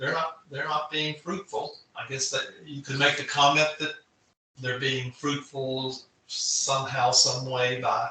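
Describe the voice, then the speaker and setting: Speaking at a fairly slow pace, a man delivers his words in a monotone, flat intonation. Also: fairly high pitch for a man. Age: 60s. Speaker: author and UFO witness. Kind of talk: podcast interview. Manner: halting.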